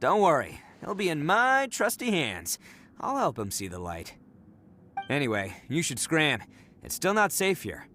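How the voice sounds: In a put-on character voice, a man speaks at a fairly slow pace with long, frequent pauses, a fairly high pitch, very wide pitch swings and a bright, sharp tone.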